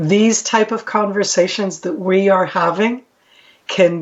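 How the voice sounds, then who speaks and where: With an American accent, a woman speaks at a fairly slow pace and a medium pitch. Her intonation stays fairly even. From Israel, American parents. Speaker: retired military intelligence officer. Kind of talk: podcast interview. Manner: occasional hesitations (um).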